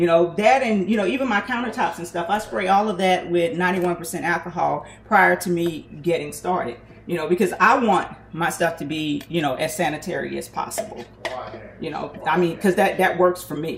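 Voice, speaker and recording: With music in the background, a woman speaks at a fairly quick pace with ordinary pitch variation. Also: fairly low pitch for a woman. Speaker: small business owner making hair and skin products. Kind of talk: casual kitchen tutorial vlog. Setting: home kitchen.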